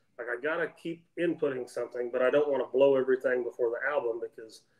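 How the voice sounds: A man with an American accent, a slightly mellow tone and fairly even intonation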